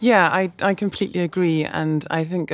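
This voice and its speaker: The speaker talks with a London accent. The intonation stays fairly even. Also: woman. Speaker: music label manager. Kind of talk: podcast panel discussion.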